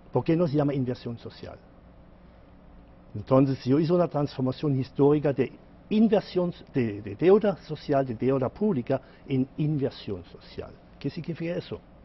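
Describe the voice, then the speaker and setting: A man talks at a moderate pace in a somewhat breathy voice with lively intonation. He leaves long, frequent pauses. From Germany. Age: 60s. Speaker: economist and author. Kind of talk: TV interview. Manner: halting.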